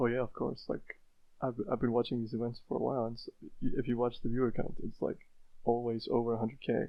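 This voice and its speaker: A man's very fast, monotone speech at medium pitch, flat in intonation, with an Icelandic accent. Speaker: speedrunner. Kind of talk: podcast interview. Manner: hesitant, with repetitions.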